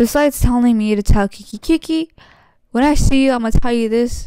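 A woman's high-pitched voice with a dark, mellow tone, fairly even intonation and a moderate pace, dry with no echo. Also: quiet background. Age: 20s. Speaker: youtuber podcast host. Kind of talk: casual solo chat. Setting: home recording setup. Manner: rambling, hesitant with many fillers. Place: home room. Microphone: handheld.

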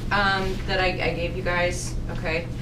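Over noticeable background noise, a woman speaks at a fairly slow pace. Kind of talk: lecture. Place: meeting room.

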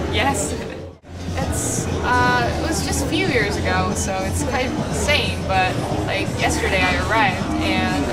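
Loud background noise surrounds a woman as she talks fairly slowly. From South Korea. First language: Korean. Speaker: singer. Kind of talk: interview answer. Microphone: camera far.

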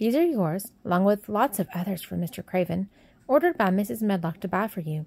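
Intonation here is lively. It is an unforced reading voice.

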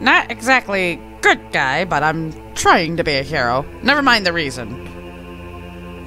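A man uses a put-on character voice with a fairly high pitch, speaking at a fairly slow pace over clear music in the background. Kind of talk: comic put-on monster voice. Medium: game stream. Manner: pompous, boastful.

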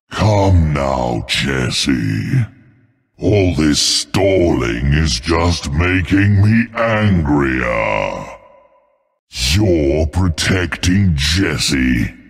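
Putting on a character voice, a man speaks very slowly at an extremely low pitch, with vocal fry and big pitch swings.

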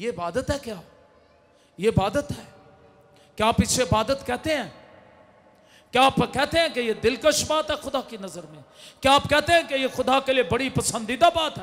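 With extremely high pitch, this man talks in an animated tone with lively intonation, big swings in loudness, and long, frequent pauses. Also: moderate pace. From Pakistan. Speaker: pastor. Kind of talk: sermon. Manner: animated, loud. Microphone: handheld.

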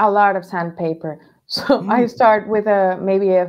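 Over a quiet background, a woman with a Spanish accent speaks at a fairly slow pace in a medium pitch with fairly even intonation. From Venezuela. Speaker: toy maker and painter, former chef; podcast guest. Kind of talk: interview. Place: home room.

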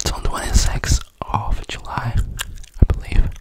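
A man's breathy whisper at a fairly slow pace. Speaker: ASMR creator. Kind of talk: ASMR whisper chat. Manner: whispered, breathy. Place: home room. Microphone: studio mic.

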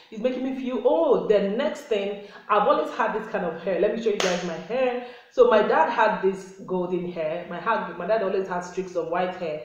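There is light background noise and audible room echo. A woman speaks at a moderate pace with ordinary pitch variation. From Nigeria. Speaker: lifestyle YouTuber. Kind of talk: casual vlog monologue. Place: home room. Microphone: phone near.

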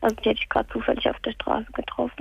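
A woman speaks in a sad tone. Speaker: caller. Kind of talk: phone-in call about a personal matter. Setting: phone call. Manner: subdued, sounds sad.

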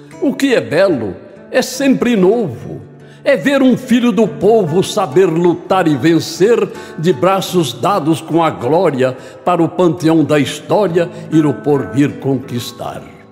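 With music playing behind him, a man talks at a very slow pace in a high pitch, his voice swinging very widely up and down. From Brazil, São Paulo state. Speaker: poetry reciter. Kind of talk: poetry reading. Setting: studio, with guitar accompaniment.

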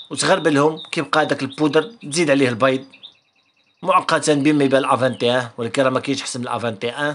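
A man with a Moroccan accent speaks at a fairly quick pace and a fairly high pitch. His pitch varies in an ordinary way over light background noise. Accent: Moroccan Arabic (Darija). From Morocco. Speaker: canary breeder and video creator; video creator. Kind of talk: tutorial. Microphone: phone near.

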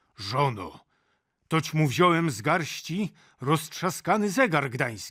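A man's gruff, put-on character voice, fairly high in pitch, with very wide pitch swings at a fairly slow pace. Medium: read story. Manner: blustering, gruff.

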